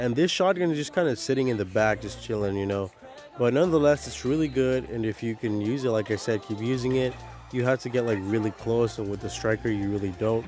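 Over music in the background, a man talks at a very fast pace with a medium pitch and ordinary pitch variation. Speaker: mobile game commentator. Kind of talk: gaming commentary voice-over. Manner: casual.

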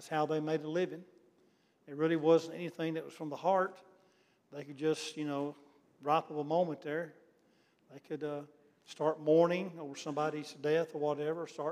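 A man talks at a moderate pace in a monotone, flat intonation. His speech is broken by long, frequent pauses. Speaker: Bible class teacher. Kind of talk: lecture. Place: church.

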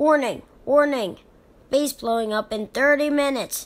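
Using a put-on character voice, the female-sounding speaker pitches high and moves at a moderate pace.

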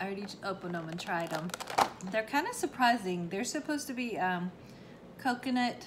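Noticeable background noise behind a woman's moderate-paced speech. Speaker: home reviewer. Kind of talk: casual product review chat. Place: home room. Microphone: phone near.

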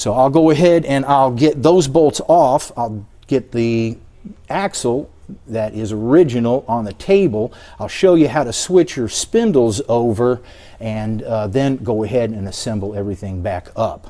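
A man speaks fairly slowly in a dark, mellow tone. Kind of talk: tutorial. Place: garage. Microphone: camera far.

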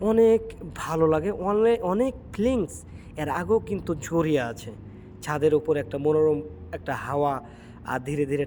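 The man's voice has a dark, mellow tone and a fairly high pitch. His intonation is lively. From Bangladesh, Chapainawabganj. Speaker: vlogger and migrant worker. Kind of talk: travel vlog. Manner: animated.

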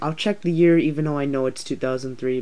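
A fairly quick pace over light background noise. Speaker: toy collector reviewer. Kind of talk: casual toy review talk. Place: home room. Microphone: phone near.

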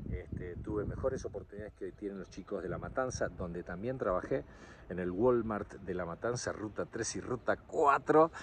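Here a man with an ordinary speaking voice talks in a fairly low pitch at a moderate pace. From Argentina. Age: 60s. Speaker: political vlogger. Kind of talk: casual monologue. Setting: outdoors.

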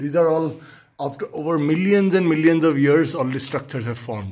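This man's voice is somewhat breathy, and his pitch varies in an ordinary way. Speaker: guide or companion explaining the cave. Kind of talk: casual tour commentary. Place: tunnel cave. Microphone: phone near.

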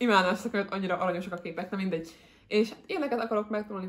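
The speaker is a woman. Her voice shows ordinary pitch variation. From Hungary. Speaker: book vlogger. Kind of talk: casual chat. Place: home room.

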